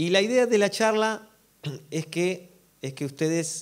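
A man speaks with an Argentine accent. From Argentina. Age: 40s. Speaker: drummer and worship musician; speaker. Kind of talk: workshop talk to an audience. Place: stage. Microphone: handheld.

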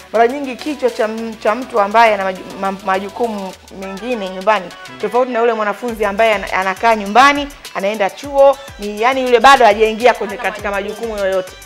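A woman talks with fairly even intonation as faint music sounds in the background. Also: fairly quick pace. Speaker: talk show host. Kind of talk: talk show commentary. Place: studio.

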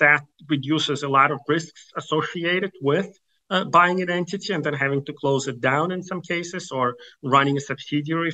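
Here a man talks at a moderate pace in a bright, sharp tone. His pitch varies in an ordinary way. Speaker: guest. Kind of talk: interview answer. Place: office. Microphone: video call.

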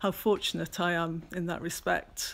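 A woman at a fairly slow pace in a monotone, flat intonation. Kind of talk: casual studio tour talk. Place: workshop. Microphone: phone near.

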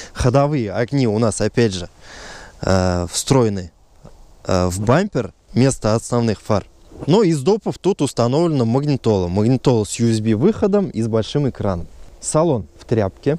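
A man's dark, mellow voice at a moderate pace, with long, frequent pauses and a dry sound with no echo. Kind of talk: car review vlog. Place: open country.

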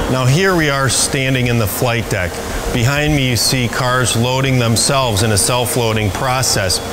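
Noticeable background noise sits under the voice. The loudness is very even, the pace moderate, and the pitch variation ordinary. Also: man. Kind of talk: promotional facility tour. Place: shop.

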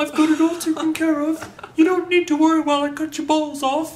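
In a put-on character voice with a high pitch, the speaker goes at a fairly quick pace with monotone, flat intonation.

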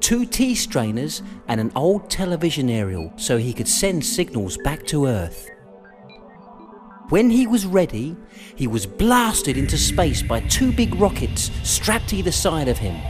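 Over music in the background, a man with a fairly high pitch talks at a fairly slow pace with very wide pitch swings. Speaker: voiceover artist and writer. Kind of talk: children's audiobook narration.

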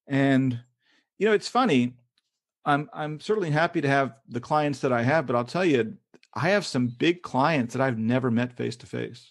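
A man with a Kentucky accent speaks at a fairly high pitch. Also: ordinary pitch variation, moderate pace, quiet background. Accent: American, Kentucky. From Kentucky, US South. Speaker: freelance English teaching consultant. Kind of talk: casual interview.

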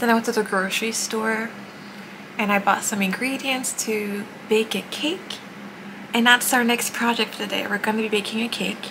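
A soft-spoken woman talks at a moderate pace with fairly even intonation. Noticeable background noise runs behind her. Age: 20s. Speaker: Twitch streamer. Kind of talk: casual vlog talk to camera. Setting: outdoors, street noise. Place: home room. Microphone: phone near.

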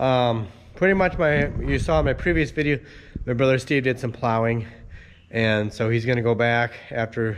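With pitch that varies in an ordinary way, a man is talking. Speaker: farmer vlogger. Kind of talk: casual vlog chat. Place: farm machine. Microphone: phone near.

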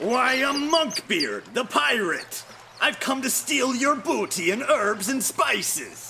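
A put-on character voice from a man, gruff and extremely high-pitched, at a fairly slow pace over clear background noise. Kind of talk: pirate voice, comic overacting. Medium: cartoon. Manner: gruff, threatening, then defensive.

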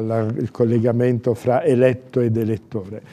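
A man speaks in a dark, mellow tone. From Abruzzo, Italy. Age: 60s. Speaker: candidate for regional president. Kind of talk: political interview answers. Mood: calm, measured, formal. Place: studio.

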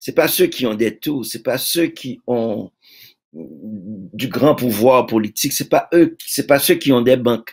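The voice moves at a very slow pace with ordinary pitch variation. The background stays quiet. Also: man, medium pitch for a man. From Haiti. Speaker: poet and publisher; poet. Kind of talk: interview. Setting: video call. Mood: earnest, reflective. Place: home room.

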